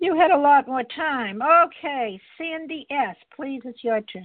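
With lively intonation, a woman talks at a fairly slow pace in a high pitch.

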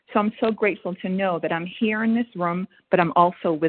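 A woman's fairly low voice at a fairly quick pace with ordinary pitch variation. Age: 50s. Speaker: 12-step meeting member. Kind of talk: recovery share. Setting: phone call. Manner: hesitant, many fillers.

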